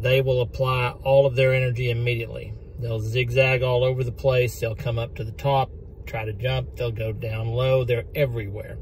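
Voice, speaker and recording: In a dry recording with no echo and light background noise, a man speaks at a moderate pace in a somewhat breathy voice with monotone, flat intonation. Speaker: fishing vlogger. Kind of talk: casual vlog chat. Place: car. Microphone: phone near.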